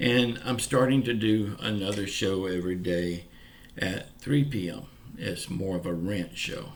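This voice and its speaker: In a Southern US accent, a man with a fairly low pitch talks at a fairly slow pace with lively intonation, and audible room echo carries his voice. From US South, Pensacola, Florida. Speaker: YouTuber giving news updates. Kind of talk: casual vlog monologue. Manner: informal, folksy.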